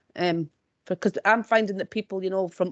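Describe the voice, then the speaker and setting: A woman talks at a very fast pace in a dry, close sound with no echo. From Scotland, South Lanarkshire. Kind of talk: webinar discussion.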